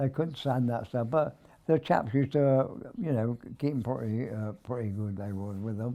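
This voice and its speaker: With a dark, mellow tone and medium pitch, a man speaks at a fairly slow pace using ordinary pitch variation. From Wargrave, Berkshire, England. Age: 80s+. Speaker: war veteran. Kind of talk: interview answer. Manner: hesitant.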